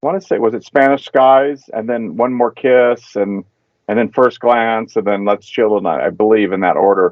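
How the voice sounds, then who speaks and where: With an American accent and an unremarkable speaking voice, a man talks at a moderate pace with a medium pitch and ordinary pitch variation. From Southern California, Anaheim. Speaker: saxophonist. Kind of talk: casual interview.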